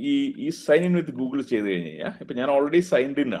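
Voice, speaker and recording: Against a quiet background, a man with a dark, mellow tone speaks in very wide pitch swings. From Kerala, India. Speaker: engineering college principal teaching a workshop; lecturer. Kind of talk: lecture. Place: office. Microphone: video call.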